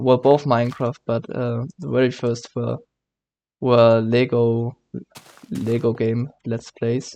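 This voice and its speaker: With a German accent and a dark, mellow tone, a man speaks at medium pitch, very slowly, with fairly even intonation. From Germany. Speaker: gaming YouTuber. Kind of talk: let's play commentary. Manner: halting, many fillers and self-corrections.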